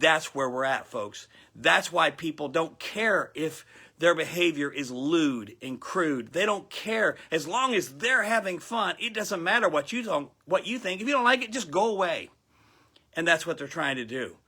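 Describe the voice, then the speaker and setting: Speaking at a moderate pace with an American accent, a man uses a high pitch, a bright, sharp tone, an animated tone and very wide pitch swings. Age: 60s. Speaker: pastor. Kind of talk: sermon.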